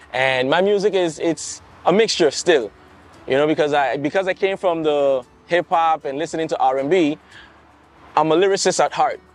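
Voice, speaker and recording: Using a fairly high pitch and ordinary pitch variation, a man keeps a moderate pace with long, frequent pauses in a dry, close sound with no echo. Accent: St Maarten. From St Maarten, Caribbean. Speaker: soca singer. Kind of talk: interview.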